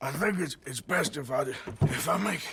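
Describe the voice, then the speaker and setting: A raspy put-on character voice with lively intonation and a moderate pace. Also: man, high pitch for a man. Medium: video game. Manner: gruff, halting.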